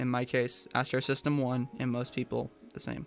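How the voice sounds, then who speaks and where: Music plays in the background. A man with a medium pitch talks at a fairly quick pace. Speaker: ham radio hobbyist. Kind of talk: software tutorial walkthrough. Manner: casual, fast-paced.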